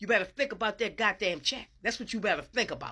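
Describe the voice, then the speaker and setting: On a very clean recording with a silent background, a woman speaks at a fairly high pitch in an animated, bright, sharp tone with ordinary pitch variation. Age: old. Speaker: social media commentator. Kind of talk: political rant.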